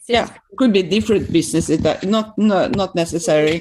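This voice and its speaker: A woman with a Swedish accent talks at a moderate pace. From Sweden. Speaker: systemic practitioner with a doctorate. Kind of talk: interview conversation. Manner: halting.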